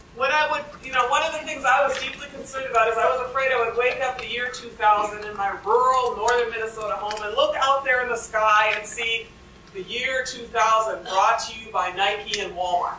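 A woman speaks at a fairly quick pace with ordinary pitch variation and big swings in loudness, with audible room echo and light background noise. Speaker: speaker. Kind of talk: lecture. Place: classroom. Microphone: podium.

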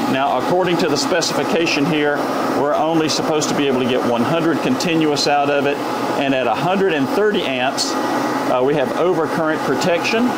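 A man at a moderate pace, ordinary pitch variation, over loud background noise. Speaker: RV product reviewer. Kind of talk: tutorial. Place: workshop.

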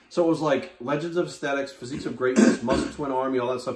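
Words come at a very fast pace with audible room echo. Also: man. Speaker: guest. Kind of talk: interview answer. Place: home room. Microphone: camera far.

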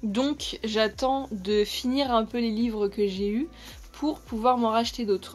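Pitched fairly high, a woman's voice moves with ordinary pitch variation. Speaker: YouTuber, toy collector. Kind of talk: unboxing video. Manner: halting.

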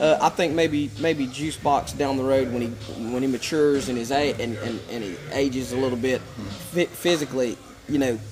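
Noticeable background noise sits behind a man with an Appalachian accent. He speaks at a medium pitch with fairly even intonation. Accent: Southern Appalachian American. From western North Carolina. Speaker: MMA promoter; fight team coach. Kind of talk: casual chat. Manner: repetitive, stammering starts. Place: gym.

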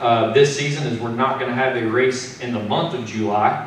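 At a moderate pace and with fairly even intonation, a man speaks amid audible room echo and light background noise. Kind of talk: press conference speech. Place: meeting room.

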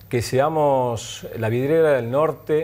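The man's pitch shows ordinary variation. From Argentina, Tucumán; Argentina. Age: 30s. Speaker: guest. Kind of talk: panel discussion. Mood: calm, thoughtful. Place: studio. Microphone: lapel.

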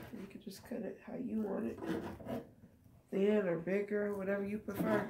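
Against loud background noise, a woman with a medium pitch talks at a moderate pace. Her intonation is monotone and flat, while her loudness swings widely. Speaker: cooking vlogger. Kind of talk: cooking tutorial. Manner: casual, conversational. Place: kitchen. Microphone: phone near.

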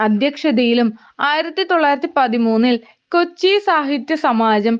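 A woman talks at a high pitch. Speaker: educational video narrator. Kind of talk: scripted narration.

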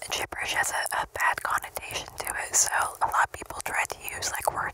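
Whispering at a fairly quick pace, a woman gets her words out. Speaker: ASMR creator. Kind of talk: casual vlog chat. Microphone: studio mic.

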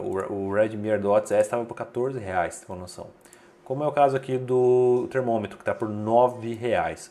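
A man speaks at a medium pitch. Noticeable background noise runs behind him. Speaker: tech reviewer and deals channel host. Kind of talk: sales pitch, promo deal rundown; video review / promo rundown. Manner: brisk, upbeat bargain-hunter pitch; opinionated, recommends with confidence.

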